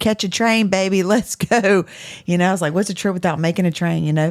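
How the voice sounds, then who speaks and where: In a very clean recording with a silent background, a woman talks at a very fast pace with ordinary pitch variation. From southwest Louisiana. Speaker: podcast co-host. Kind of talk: casual chat.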